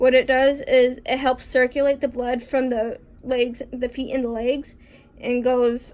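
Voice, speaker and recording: A woman speaks at a high pitch with monotone, flat intonation. Her pace is fairly slow. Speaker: vlogger with chronic illness. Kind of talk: casual vlog talk. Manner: halting, many fillers; trouble pronouncing some words.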